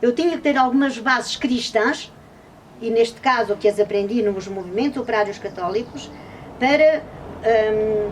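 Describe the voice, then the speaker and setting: The speech has ordinary pitch variation and long, frequent pauses. Noticeable background noise runs underneath. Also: woman, fairly high pitch for a woman, moderate pace. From Covilhã, Portugal. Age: 70s. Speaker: retired textile worker and former trade unionist. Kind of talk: interview answer.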